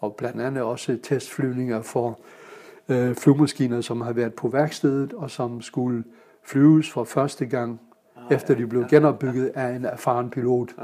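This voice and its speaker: A man talks at a fairly slow pace, his intonation monotone and flat. Noticeable background noise runs underneath. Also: medium pitch for a man. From Germany (Kiel). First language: German (speaking Danish). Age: 70s. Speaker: pilot and public speaker. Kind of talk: casual interview. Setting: club room. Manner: hesitant, many fillers.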